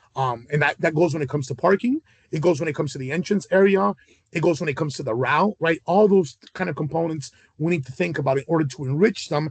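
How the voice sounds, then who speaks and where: A man with a fairly high pitch speaks at a very fast pace, the sound dry and close with no echo. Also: ordinary pitch variation. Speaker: charity event organizer. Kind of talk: video call meeting. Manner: hesitant, many fillers.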